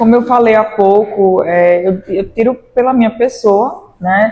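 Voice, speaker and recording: Speaking at a fairly slow pace, a woman has a dark, mellow tone, a fairly high pitch and ordinary pitch variation. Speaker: law professor. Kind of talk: interview.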